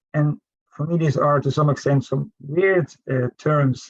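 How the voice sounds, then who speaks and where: A man with a Dutch accent speaks at a fairly high pitch, somewhat breathy, with ordinary pitch variation and a dry, close sound with no echo. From Netherlands. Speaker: professor. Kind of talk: panel discussion. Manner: halting, many fillers.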